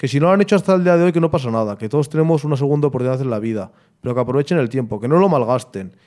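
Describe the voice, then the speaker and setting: A man talks at a very fast pace with lively intonation. His tone is dark and mellow, in a very clean recording with a silent background. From Vitoria, Basque Country, Spain. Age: 20s. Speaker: musician and martial arts practitioner. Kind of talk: interview.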